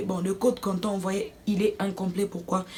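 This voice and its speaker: A woman's medium-pitched voice at a moderate pace, with music in the background. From Democratic Republic of the Congo. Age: 20s. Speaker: student / vlogger. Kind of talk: casual story time to camera.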